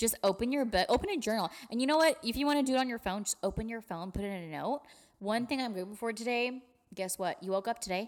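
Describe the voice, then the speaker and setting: The speech comes at a very fast pace with lively intonation. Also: woman, fairly high pitch for a woman. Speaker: podcast co-host. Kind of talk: casual chat. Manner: fast talker.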